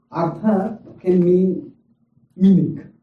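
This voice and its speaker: With audible room echo, a man speaks in a dark, mellow tone at a high pitch, keeping his intonation fairly even. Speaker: spiritual teacher. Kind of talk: lecture.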